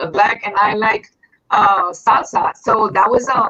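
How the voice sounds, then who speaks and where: The speaker has a Puerto Rican accent. The intonation is lively. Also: woman. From Puerto Rico. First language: Spanish. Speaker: singer and actress. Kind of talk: interview. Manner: halting.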